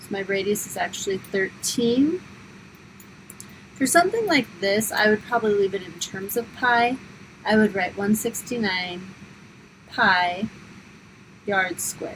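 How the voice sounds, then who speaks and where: Over noticeable background noise, a woman speaks at a fairly slow pace with long, frequent pauses. Her pitch is medium with ordinary variation, and her loudness swings widely. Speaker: high school math teacher. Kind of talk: tutorial.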